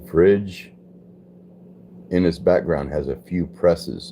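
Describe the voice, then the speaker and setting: A relaxed, dark, mellow tone with vocal fry, in an American accent, with ordinary pitch variation and a fairly slow pace. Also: man. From US West, Los Angeles. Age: 60s. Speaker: livestreamer. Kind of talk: casual live chat reading viewer comments. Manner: relaxed, conversational.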